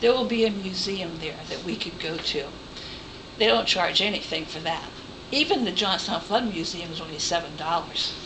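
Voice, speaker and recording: A woman speaks with an American accent at a medium pitch and a moderate pace, with ordinary pitch variation. Noticeable background noise and audible room echo fill the recording. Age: 60s. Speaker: retired volunteer trip organizer. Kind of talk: informal presentation to a group.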